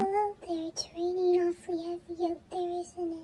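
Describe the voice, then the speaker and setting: A squeaky, female-sounding put-on character voice at an extremely high pitch carries a calm tone and monotone, flat intonation. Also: moderate pace. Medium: read story. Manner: eerily calm.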